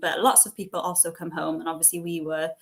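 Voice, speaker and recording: A woman's fairly low voice with a West Wales accent, a fairly quick pace and ordinary pitch variation. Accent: Welsh (West Wales, Welsh-speaking). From West Wales, near Cardigan. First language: Welsh. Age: 20s. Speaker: entrepreneur, cafe owner. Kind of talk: interview. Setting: online event. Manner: casual, many fillers.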